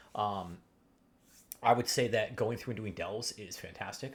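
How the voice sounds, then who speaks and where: Somewhat breathy, a man speaks in a fairly low pitch with fairly even intonation. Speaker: gaming video creator. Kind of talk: gaming tutorial. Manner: fast; halting, many fillers.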